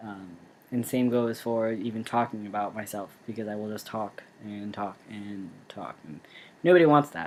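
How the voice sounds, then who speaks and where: A man with an ordinary speaking voice, fairly low pitch and ordinary pitch variation, at a moderate pace with big swings in loudness. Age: 20s. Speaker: vlogger. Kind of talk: casual vlog monologue.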